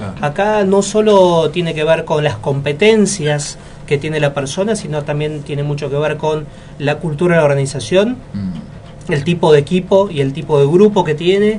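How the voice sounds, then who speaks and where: A man's fairly high voice with ordinary pitch variation over music in the background. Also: moderate pace. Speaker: leadership consultant, interview guest. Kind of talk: radio interview answer.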